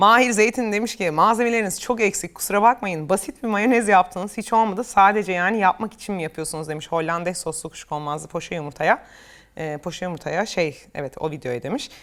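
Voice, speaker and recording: At a fairly quick pace, a woman speaks in a plain, everyday voice with lively intonation, in a very clean recording with a silent background. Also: medium pitch for a woman, hardly any pauses. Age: 30s. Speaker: cooking youtuber. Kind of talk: reading and answering comments. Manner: laughing often.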